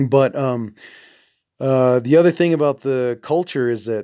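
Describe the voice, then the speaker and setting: On a very clean recording with a silent background, a man in a Navajo accent talks at a fairly slow pace and fairly high pitch, with ordinary pitch variation. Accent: Navajo-inflected American English. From Navajo Nation, US Southwest. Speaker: podcast host. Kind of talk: solo podcast monologue. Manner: halting, many fillers; sounds intellectual.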